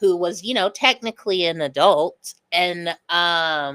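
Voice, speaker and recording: Loud and with a bright, sharp tone, a woman talks with an American accent, the sound dry and close with no echo. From US Midwest (Lincoln County, Missouri). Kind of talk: casual chat.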